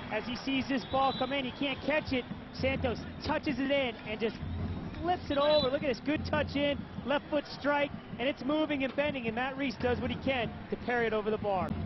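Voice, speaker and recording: An upbeat tone at a fairly quick pace, with music in the background. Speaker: color commentator. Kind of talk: sports analysis commentary. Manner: explanatory, conversational, upbeat breakdown of replays.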